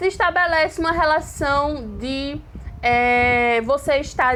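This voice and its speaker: The speaker is a woman with a high pitch. Her voice rises and falls in an ordinary way. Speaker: Spanish teacher. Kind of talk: online lecture.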